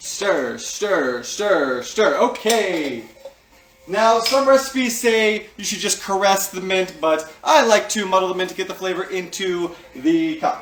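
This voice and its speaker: Over music in the background, a man with a high pitch speaks at a fairly slow pace with lively intonation. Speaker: cocktail video host. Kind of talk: casual talk to camera, cocktail tutorial. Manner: casual, joking, humorous.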